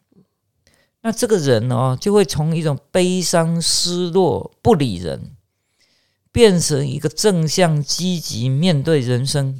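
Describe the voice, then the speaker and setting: Over a very clean recording with a silent background, a man with a fairly high voice speaks at a very slow pace with lively intonation. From Taiwan, Chiayi. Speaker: palliative care physician and medical professor. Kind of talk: interview. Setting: studio. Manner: hesitant, many fillers.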